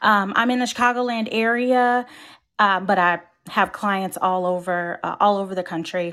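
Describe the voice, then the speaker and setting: Her voice is bright and sharp, with a medium pitch, ordinary pitch variation and a moderate pace. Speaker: Disney travel agent. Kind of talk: casual interview chat. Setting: video call.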